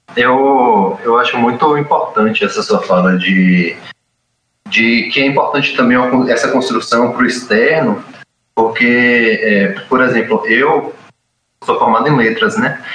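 Using long, frequent pauses and very even loudness, a man speaks at a fairly slow pace in audible room echo. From Brazil, Itabuna, Bahia. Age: 20s. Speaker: podcast co-host, literature scholar. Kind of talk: interview.

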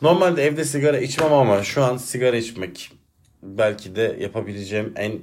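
Speaking at a moderate speed, a man uses lively intonation. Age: 30s. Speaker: solo podcaster and teacher. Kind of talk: personal monologue. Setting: alone at home at a desk. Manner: reflective, calmer than usual.

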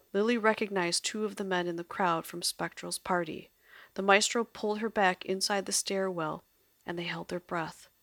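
Unforced voice, reading

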